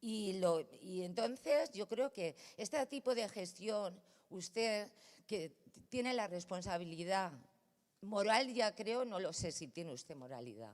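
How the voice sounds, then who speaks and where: Her pitch swings very widely around a medium level. The woman speaks at a fairly slow pace. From Valencia, Spain. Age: 60s. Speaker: neighbour speaking at a city council meeting. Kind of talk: public address at a council plenary. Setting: council chamber. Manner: animated, confrontational.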